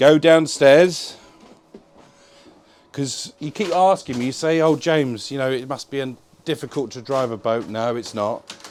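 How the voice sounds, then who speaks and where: A man speaks at a moderate pace with an English accent. His tone is energetic, his pitch is medium, and his pitch variation is ordinary. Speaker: boat dealer presenter. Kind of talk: tour walkthrough. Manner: casual, energetic.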